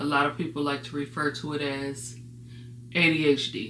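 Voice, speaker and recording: A woman with a very deep, low pitch, heard with audible room echo. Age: 40s. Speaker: vlogger with ADHD. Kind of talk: personal talk to camera. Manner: hesitant, many fillers.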